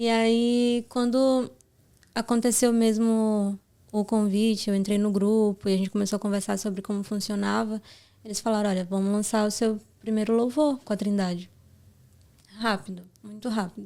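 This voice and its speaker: At a moderate pace, the speaker has a dark, mellow tone and monotone, flat intonation on a very clean recording with a silent background. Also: woman, fairly high pitch for a woman. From Brazil, Pará. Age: 20s. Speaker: gospel singer. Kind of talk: interview testimony.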